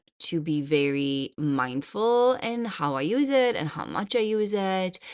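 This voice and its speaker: A woman with a non-native accent speaks at a very slow pace with very wide pitch swings. The background is quiet. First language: not English. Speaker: podcast host and hypnotherapist. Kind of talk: podcast monologue. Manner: casual, conversational.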